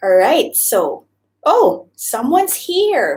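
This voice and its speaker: A woman with a Visayan Filipino accent speaks at a very slow pace. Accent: Filipino (Cebuano) English. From Philippines, Cebu. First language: Cebuano (Bisaya). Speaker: YouTuber, former teacher. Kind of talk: live stream chat. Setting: live stream. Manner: hesitant, filler-heavy.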